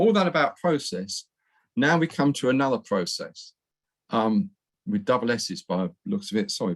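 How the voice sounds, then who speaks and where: A man's fairly high-pitched voice with a British accent, vocal fry and very wide pitch swings, in a dry, close sound with no echo. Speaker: professor. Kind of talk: lecture. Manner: fast.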